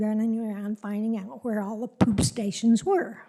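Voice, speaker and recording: A woman speaks with a dark, mellow tone at a fairly high pitch, somewhat breathy. Her intonation stays fairly even. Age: 80s+. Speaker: public commenter at zoning meeting. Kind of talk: public comment. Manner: halting.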